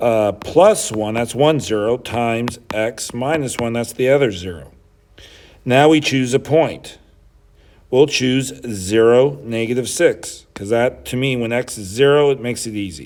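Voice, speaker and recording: A man speaks fairly slowly in an unremarkable speaking voice, keeping a medium pitch that varies in a normal way. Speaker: high school math teacher. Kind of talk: tutorial.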